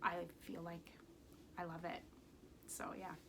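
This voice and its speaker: A woman at a fairly slow pace. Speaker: knitting podcaster. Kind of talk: casual chat. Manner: casual with many fillers.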